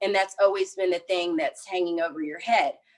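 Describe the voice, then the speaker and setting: A woman speaks at a medium pitch in an unremarkable speaking voice. Her intonation is lively. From East Texas, small town. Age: 30s. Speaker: interviewee sharing experience of racism. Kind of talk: interview, personal testimony.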